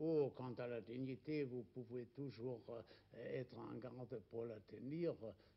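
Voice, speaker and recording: Very slow in pace, a man speaks with fairly even intonation. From Germany. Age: 80s+. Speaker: writer. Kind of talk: interview answer. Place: home room.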